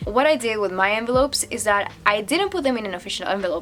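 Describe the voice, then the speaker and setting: In a non-native accent, a woman talks at a fairly quick pace with medium pitch and ordinary pitch variation. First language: not English. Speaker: international student. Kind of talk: casual talk to camera. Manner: rambling.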